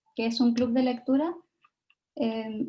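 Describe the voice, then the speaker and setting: A woman's high pitch in a dark, mellow tone, at a moderate pace. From Chile. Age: 20s. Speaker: Japanese learning content creator, invited speaker. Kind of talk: talk at online event.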